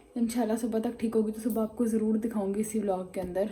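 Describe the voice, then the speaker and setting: Her voice is fairly high for a woman yet dark and mellow, and somewhat breathy. She keeps a monotone, flat intonation at a moderate pace. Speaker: vlogger. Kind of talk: casual vlog.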